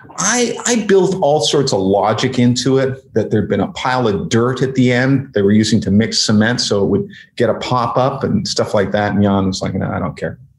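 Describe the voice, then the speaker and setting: With a Canadian accent, a man talks at a medium pitch and a fairly quick pace, his pitch swinging very widely. His voice is somewhat breathy, with hardly any pauses. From Canada. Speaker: screenwriter. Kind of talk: interview.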